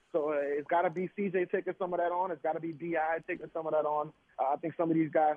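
Talking very fast, this man keeps a monotone, flat intonation at a fairly high pitch. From New Orleans. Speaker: sports journalist. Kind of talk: radio interview.

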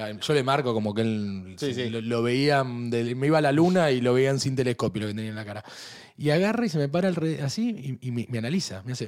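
Here is a man with an ordinary speaking voice at a medium pitch. He talks at a fairly quick pace with lively intonation. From Argentina. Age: 40s. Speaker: podcast host. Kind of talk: casual chat. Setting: studio.

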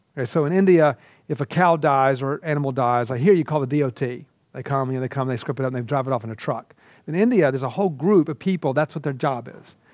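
A man talks at a very fast pace with an American accent, his pitch fairly high and its variation ordinary. The recording is very clean, with a silent background. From US South, Georgia. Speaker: seminary professor. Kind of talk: lecture. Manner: halting, many fillers.

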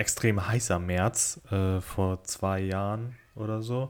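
The man's intonation is fairly even. His pitch sits fairly low. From northern Germany, Kiel. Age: 20s. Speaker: podcaster and part-time photographer. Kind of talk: casual solo podcast monologue.

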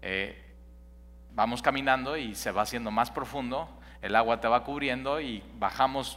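Speaking at a fairly slow pace, a man has a medium pitch, ordinary pitch variation, a bright, sharp tone and vocal fry. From Mexico City. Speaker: pastor. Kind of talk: sermon. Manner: halting.

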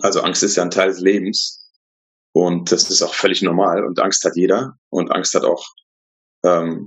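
Pausing long and often, a man talks at a fairly slow pace with very even loudness. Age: 40s. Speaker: coworking space founder. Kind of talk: casual interview.

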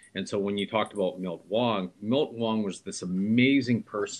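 In a Canadian accent, this bright, sharp voice moves at a fairly quick pace with ordinary pitch variation. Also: man. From Vancouver, Canada. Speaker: entrepreneur and mayoral candidate. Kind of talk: interview.

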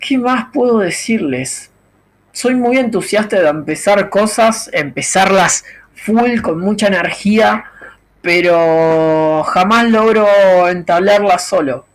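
A man with a Rioplatense accent, high in pitch, at a very slow pace with ordinary pitch variation. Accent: Argentine Rioplatense Spanish. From Argentina. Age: 30s. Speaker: podcaster. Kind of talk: solo monologue podcast. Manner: improvised, thinking aloud.

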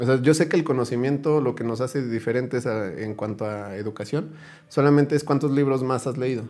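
A man's dark, mellow voice at medium pitch, with ordinary pitch variation and a fairly quick pace. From Hidalgo, Mexico. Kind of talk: casual chat.

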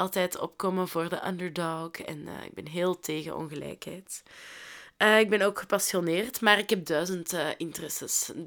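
In a very clean recording with a silent background, a speaker with a Flemish accent goes at a moderate pace with fairly even intonation and big swings in loudness. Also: woman, fairly low pitch for a woman. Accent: Flemish Dutch. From Flanders, Belgium (Londerzeel). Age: 20s. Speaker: podcast host, social worker. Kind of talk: casual solo podcast monologue. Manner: chatty, talkative.

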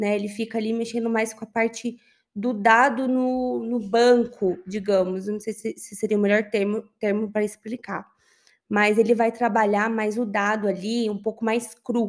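A woman with a fairly high voice speaks at a moderate pace in a monotone, flat intonation. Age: 30s. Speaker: business intelligence analyst. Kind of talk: interview.

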